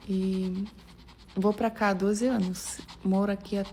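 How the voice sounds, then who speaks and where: Speaking fairly slowly with a Russian accent, a woman keeps a medium pitch and a monotone, flat intonation. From Russia, Samara. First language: Russian (speaking Portuguese). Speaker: actress. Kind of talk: casual vlog talk.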